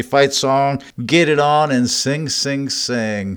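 A man speaks in a normal speaking voice. His pitch is fairly high, with ordinary variation. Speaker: radio host. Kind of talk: radio DJ patter introducing bluegrass songs. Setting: radio studio. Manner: upbeat, polished radio announcer; jokey, self-promoting.

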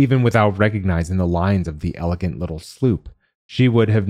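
Quiet surroundings, an unforced reading voice, and pitch that varies in an ordinary way

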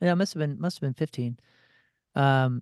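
In a Midwestern US accent, a man with a fairly high pitch and ordinary pitch variation speaks with a dry, close sound and no echo against a quiet background. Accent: US Midwest. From St. Louis, Missouri. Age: 40s. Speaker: rock musician and radio personality. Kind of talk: casual chat.

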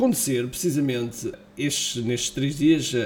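Noticeable background noise around a man talking at a moderate pace. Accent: European Portuguese. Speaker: podcast host and online marketing entrepreneur. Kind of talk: sales pitch for his own tool, promotional call to action. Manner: persuasive; enthusiastic, salesy.

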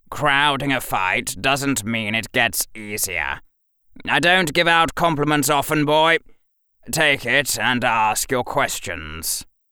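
Putting on a gruff character voice, a man speaks fairly slowly at a medium pitch. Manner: curt, gruff, impatient.

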